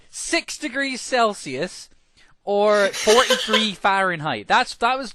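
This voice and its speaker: A man's raised, projected voice, high-pitched, bright and sharp in tone, with a Scottish accent, against a quiet background. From Scotland. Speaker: podcast co-host. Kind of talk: casual chat.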